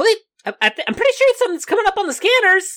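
This put-on character voice is pitched extremely high and moves at a moderate pace. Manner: matter-of-fact, alert.

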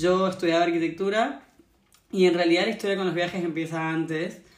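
A woman with a Rioplatense accent, fairly low in pitch, at a fairly quick pace with fairly even intonation, plus audible room echo. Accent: Argentine Spanish (rioplatense, voseo). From Argentina. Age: 20s. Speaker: traveller and yoga practitioner. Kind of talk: interview, casual conversation.

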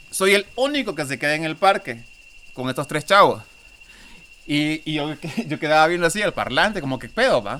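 A man with a Honduran accent has a bright, sharp tone and fairly high pitch. His intonation is lively, broken by long, frequent pauses. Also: moderate pace. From Honduras. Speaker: podcast guest. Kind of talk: casual chat.

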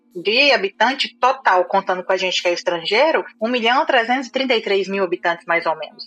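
A woman talks at a moderate speed, her intonation lively, while music plays behind her. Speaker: IT recruiter living abroad. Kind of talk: casual chat.

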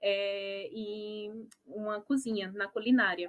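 A plain, everyday voice from a woman, fairly high in pitch, with ordinary pitch variation. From Brazil, Natal (Rio Grande do Norte). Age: 20s. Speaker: restaurant owner, biologist. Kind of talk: online panel talk.

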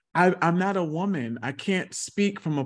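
Against a quiet background, a man with an ordinary speaking voice speaks at a moderate pace with ordinary pitch variation. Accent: American. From South Carolina. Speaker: speech-language pathologist and actor. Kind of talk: interview.

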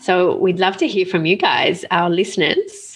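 Medium-pitched speech from a woman, with an Australian accent. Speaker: podcast co-host. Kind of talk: casual chat.

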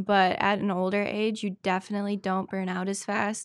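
A woman of medium pitch talks at a moderate pace in an Upper Midwest accent. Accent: Upper Midwest American. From Wisconsin (Spooner). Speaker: wrestler. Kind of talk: casual interview.

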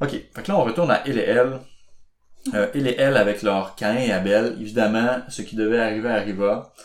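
A man speaks at a moderate pace with a plain, everyday voice. His pitch is medium, with ordinary variation. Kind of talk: casual chat.

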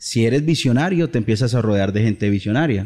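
The quiet background leaves a man's dark, mellow tone clear. He talks at a fairly quick pace with lively intonation. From Colombia, Bucaramanga. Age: 30s. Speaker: entrepreneur. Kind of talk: interview.

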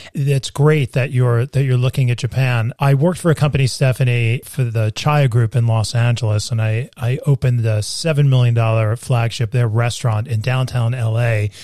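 A man with a dark, mellow, somewhat breathy tone speaks at a moderate pace with hardly any pauses. His intonation is fairly even. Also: medium pitch for a man, very even loudness. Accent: American. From New York. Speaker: podcast host. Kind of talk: interview conversation.

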